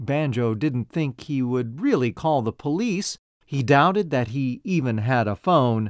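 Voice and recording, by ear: Against a quiet background, someone reads aloud in a natural voice with lively intonation.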